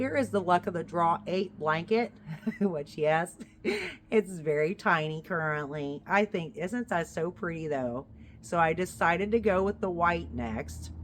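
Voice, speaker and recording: Her pitch fairly low and touched with vocal fry, a woman speaks at a fairly slow pace. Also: lively intonation. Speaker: crochet vlogger. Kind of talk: casual chat. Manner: chatty, rambling asides.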